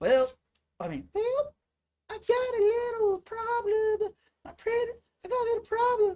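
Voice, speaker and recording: Putting on a squeaky character voice at an extremely high pitch, a man talks at a moderate pace with long, frequent pauses. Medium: solo performance. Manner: impatient, demanding.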